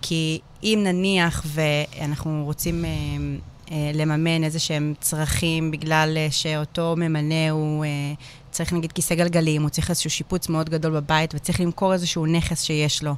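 A woman speaks at a moderate pace with a very deep, low pitch. Her intonation is monotone and flat, and her loudness stays very even. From Israel, Hadera. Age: 30s. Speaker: lawyer. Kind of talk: casual chat. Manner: halting, many fillers.

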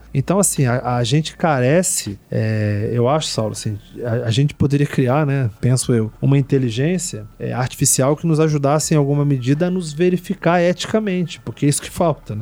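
Against noticeable background noise, a man with a fairly high pitch speaks at a moderate pace, with ordinary pitch variation and hardly any pauses. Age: 40s. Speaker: Portuguese language teacher. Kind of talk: casual chat. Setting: studio.

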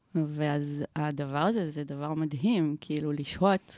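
The speech moves at a very slow pace, and the sound is dry and close with no echo. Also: woman. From Israel, Omer. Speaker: filmmaker and video producer. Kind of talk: casual interview. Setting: podcast studio.

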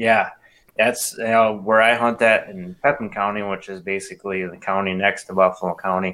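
This man speaks with a Wisconsin accent at a moderate pace, his voice fairly low in pitch with a bright, sharp tone. His intonation is fairly even, while his loudness swings widely. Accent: Upper Midwest, Wisconsin. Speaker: bow hunter. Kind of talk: casual chat.

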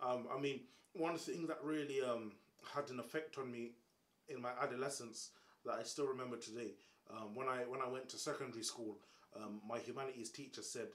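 A man with a London accent speaks at a fairly quick pace in a medium pitch. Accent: London Multicultural English. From England, Caribbean background. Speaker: comedian and YouTuber. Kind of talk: casual chat. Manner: animated.

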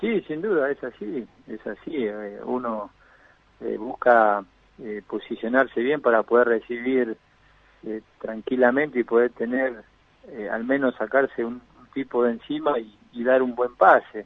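A man speaks fairly slowly at a medium pitch, with fairly even intonation, big swings in loudness, and long, frequent pauses. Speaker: former professional footballer. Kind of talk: interview.

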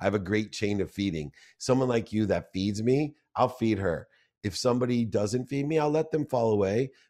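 A man speaks at a moderate pace with a dark, mellow tone, medium pitch and ordinary pitch variation against a quiet background. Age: 50s. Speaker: entrepreneur and sports marketing executive. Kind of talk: casual interview.

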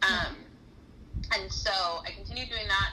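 A woman with an American accent talks amid noticeable background noise and audible room echo. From Southern California. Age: 30s. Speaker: former ministry worker. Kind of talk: casual interview.

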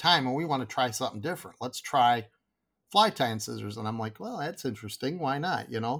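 Over a silent background in a very clean recording, a man with a Michigan accent talks at a medium pitch with lively intonation. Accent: Michigan (Upper Midwest) American. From Michigan, Grand Rapids area. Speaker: fly tying tool business owner. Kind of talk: casual interview chat.

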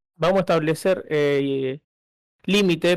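A man's fairly high-pitched, a normal speaking voice with ordinary pitch variation. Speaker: podcast co-host. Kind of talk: casual chat.

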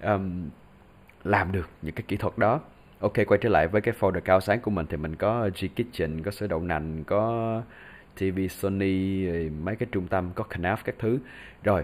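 A man with a very deep, low voice talks at a fairly slow pace. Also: ordinary pitch variation, very clean recording, silent background. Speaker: voice talent and podcast host. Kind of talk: casual solo podcast tutorial.

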